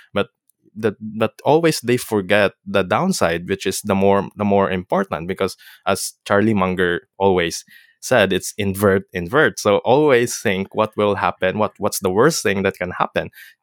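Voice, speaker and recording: The sound is dry and close with no echo as a man speaks at a fairly slow pace in a fairly low pitch. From Philippines. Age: young. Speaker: podcast host, seafarer. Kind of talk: casual interview. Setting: remote call. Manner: halting, many fillers and restarts.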